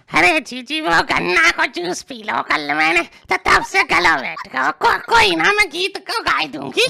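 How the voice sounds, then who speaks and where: A woman's put-on character voice, fairly high-pitched, at a moderate pace with hardly any pauses. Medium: machinima.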